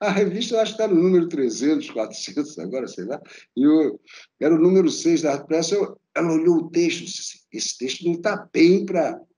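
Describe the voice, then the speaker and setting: A man with a high pitch and a dark, mellow tone speaks at a fairly quick pace. His intonation is lively. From Brazil, raised in Rio de Janeiro. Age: 70s. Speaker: art critic and professor. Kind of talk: interview conversation.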